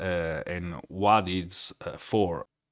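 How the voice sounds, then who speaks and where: A very clean recording of a man's voice, the background silent. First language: not English. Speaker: tech software reviewer. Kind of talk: tutorial. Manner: halting, many filler sounds.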